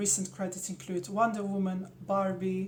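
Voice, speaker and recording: Audible room echo surrounds a woman who speaks fairly slowly at medium pitch with a Slovenian accent. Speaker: actress. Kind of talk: self-introduction.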